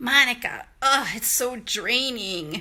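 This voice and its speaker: A woman's put-on character voice, high-pitched and weary in tone, with lively intonation at a fairly slow pace. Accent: Chicago. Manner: weary, put-upon.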